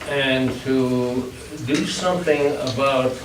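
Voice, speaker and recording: A man's medium-pitched voice amid noticeable background noise and audible room echo. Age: 90s. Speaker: public commenter at school board meeting. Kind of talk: public comment. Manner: halting, repeats words.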